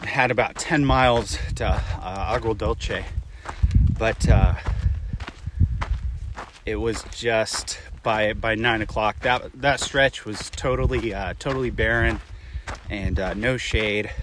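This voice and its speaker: A man's very slow speech broken by long, frequent pauses, dry with no echo, against noticeable background noise. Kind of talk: casual vlog chat. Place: open country. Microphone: phone near.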